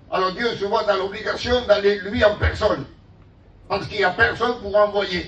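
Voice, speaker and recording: Audible room echo and noticeable background noise surround a man speaking with a high pitch. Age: 60s. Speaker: pastor. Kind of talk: sermon. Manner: animated.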